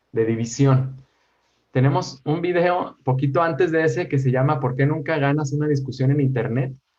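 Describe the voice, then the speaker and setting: A man speaks at a moderate pace in a fairly high, somewhat breathy voice, with fairly even intonation and very even loudness. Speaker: educational YouTube creator. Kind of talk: interview conversation.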